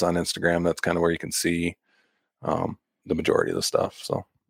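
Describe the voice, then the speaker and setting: Heard in a dry, close sound with no echo, a man speaks with an American accent. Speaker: bowhunter and llama packer. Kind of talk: casual interview chat.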